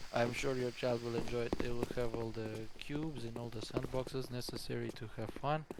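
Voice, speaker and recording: Speaking with a non-native accent, a man delivers his words at a fairly quick pace in a monotone, flat intonation. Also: medium pitch for a man. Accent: European accent, non-native. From Europe. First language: not English. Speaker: esports caster. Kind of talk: live commentary. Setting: live stream.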